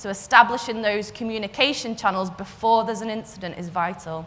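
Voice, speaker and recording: Against music in the background and audible room echo, a woman with a Liverpool accent speaks at a moderate pace in a fairly high voice with lively intonation. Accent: Scouse. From northern England, Liverpool. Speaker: cyber security consultant. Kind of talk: conference talk.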